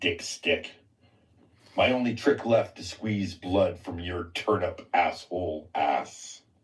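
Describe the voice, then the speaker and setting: This man slips into a put-on character voice, speaking at a fairly slow pace with a medium pitch. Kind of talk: crude, pleading. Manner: sad, mournful.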